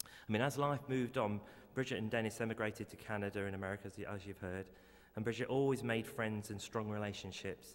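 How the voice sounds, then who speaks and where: In an English accent, a man with a fairly low pitch speaks at a very fast pace with fairly even intonation. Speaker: eulogy speaker, family member. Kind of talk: eulogy. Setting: funeral service. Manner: halting, repeats words.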